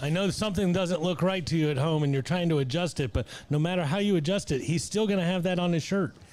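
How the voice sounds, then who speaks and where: Very fast and with hardly any pauses, a man talks in a high pitch. His loudness stays very even and his pitch variation is ordinary. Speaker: sports talk show co-host. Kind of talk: casual chat.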